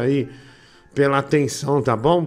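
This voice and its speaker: Here is a man with an unremarkable speaking voice. His pitch is medium and his intonation fairly even. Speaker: live show host. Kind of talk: casual live chat.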